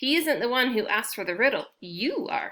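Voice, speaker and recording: A put-on character voice, female-sounding and high in pitch, at a moderate pace. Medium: read story. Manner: territorial, gruff.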